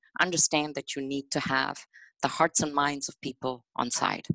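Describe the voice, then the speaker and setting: A woman is speaking against a quiet background. The sound is dry, with no echo. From India. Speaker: senator. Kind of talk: panel discussion. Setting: video call. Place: home room. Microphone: headset.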